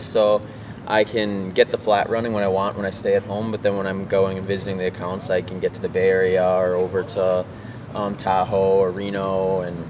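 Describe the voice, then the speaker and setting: The speaker has a strong Midwestern accent and a moderate pace. Noticeable background noise is present. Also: man. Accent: Midwest accent, strong. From US Midwest, Wisconsin. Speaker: ultrarunner. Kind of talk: interview.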